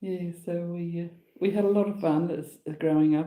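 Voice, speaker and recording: A woman with an Australian accent speaks in a dark, mellow tone. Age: 80s+. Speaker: farmer's wife, great-grandmother. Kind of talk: casual chat. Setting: livestream.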